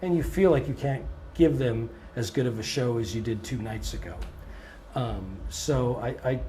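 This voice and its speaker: With audible room echo, a man talks at a moderate pace, his medium-pitched voice carrying lively intonation. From Canada. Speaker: blues musician. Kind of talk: interview. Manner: hesitant, many fillers.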